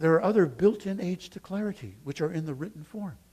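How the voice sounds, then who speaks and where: At a very fast pace, a man speaks with a high pitch, lively intonation and a dark, mellow tone. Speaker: preaching professor. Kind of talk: teaching talk about preaching.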